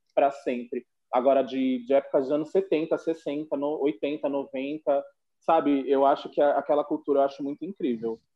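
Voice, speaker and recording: A man with a fairly high pitch talks at a moderate pace in a normal speaking voice, his intonation fairly even. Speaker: podcast co-host. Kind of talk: casual chat.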